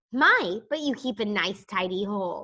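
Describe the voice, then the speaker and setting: Using a squeaky, put-on character voice at a medium pitch, a woman speaks at a moderate pace with lively intonation. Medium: read story. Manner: polite, friendly.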